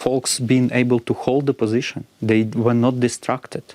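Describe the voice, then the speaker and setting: In a Ukrainian accent, a man with a medium pitch and a dark, mellow tone speaks in a monotone, flat intonation at a moderate pace, in a dry, close sound with no echo. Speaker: robotics company co-founder. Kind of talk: interview. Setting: studio. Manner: halting, with many fillers.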